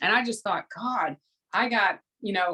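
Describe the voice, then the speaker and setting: A woman with a Southern US accent, fairly high-pitched, at a moderate pace. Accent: Southern American. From US South. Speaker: spiritual teacher and former fitness competitor. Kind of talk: casual interview chat.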